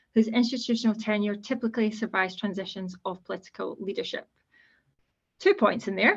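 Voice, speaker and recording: Somewhat breathy, the voice moves at a fairly quick pace with ordinary pitch variation. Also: woman. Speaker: civil servant, guest speaker. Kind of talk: presentation to students.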